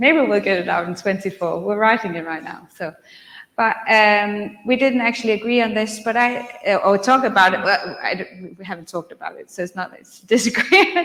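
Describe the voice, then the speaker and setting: Fairly quick speech from a woman, with big swings in loudness and noticeable background noise. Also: fairly high pitch for a woman, ordinary pitch variation. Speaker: career guidance researcher. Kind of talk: conference presentation.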